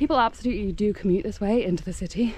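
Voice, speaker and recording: The voice has a dark, mellow tone and moves at a fairly quick pace. Light background noise sits under a dry sound with no echo. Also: woman. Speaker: vlogger cycling commuter. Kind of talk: casual vlog chat. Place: bicycle. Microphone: phone near.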